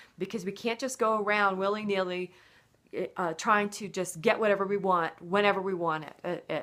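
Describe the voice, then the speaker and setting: This woman's voice sits at a medium pitch with fairly even intonation. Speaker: college lecturer. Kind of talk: recorded online lecture. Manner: fast; hesitant with filler words. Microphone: poor video quality.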